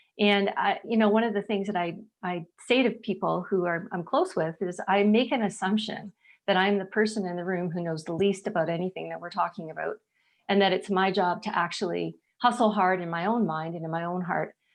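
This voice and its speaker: A woman speaks at a fairly quick pace in a plain, everyday voice, with medium pitch and fairly even intonation over a quiet background. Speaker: charity executive. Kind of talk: panel discussion.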